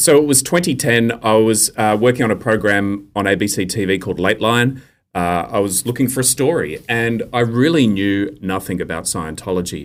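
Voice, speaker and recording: With an Australian accent and a fairly low pitch, a man talks at a moderate pace with lively intonation and hardly any pauses, in a very clean recording with a silent background. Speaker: investigative journalist. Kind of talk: interview.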